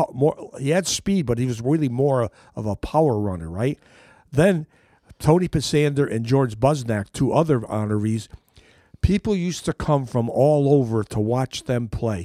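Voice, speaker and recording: A man with an American accent at medium pitch, dark and mellow in tone, lively intonation at a moderate pace, dry and close with no echo, on a very clean recording with a silent background. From Derby, Connecticut. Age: 70s. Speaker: local sports figure. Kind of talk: interview. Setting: radio studio.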